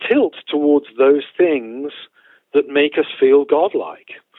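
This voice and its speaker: Here a man speaks at a fairly slow pace with a British accent. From United Kingdom. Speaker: theologian and professor. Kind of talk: interview.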